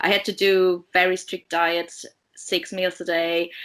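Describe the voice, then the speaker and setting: Over a silent background in a very clean recording, a woman speaks at a medium pitch with a bright, sharp tone. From Poland. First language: Polish. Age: 30s. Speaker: diabetes educator and researcher. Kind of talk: interview. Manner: hesitant, many fillers.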